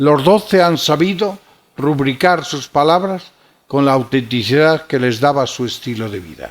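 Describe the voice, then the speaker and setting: Speaking with a Galician accent, a man talks at a fairly slow pace and fairly high pitch, with ordinary pitch variation. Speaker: archbishop. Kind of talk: lecture. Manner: formal.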